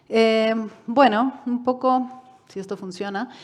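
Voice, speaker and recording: The woman's voice shows ordinary pitch variation. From Uruguay and Mexico. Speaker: UN human rights expert. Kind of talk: lecture. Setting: conference hall with online audience.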